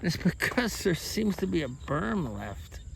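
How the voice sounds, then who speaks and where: Audible room echo follows speech delivered at a moderate pace. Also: man. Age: 60s. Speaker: retiree vlogger building a home. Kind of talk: casual walk-around vlog. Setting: outdoors on a rural building site. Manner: frustrated venting.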